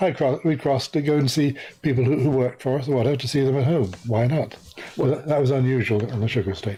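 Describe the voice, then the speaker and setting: Somewhat breathy speech comes with an English accent at a very fast pace. The loudness stays very even. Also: man, medium pitch for a man, ordinary pitch variation. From Guyana. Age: 70s. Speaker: journalist and author. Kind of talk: interview. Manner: halting, stammers.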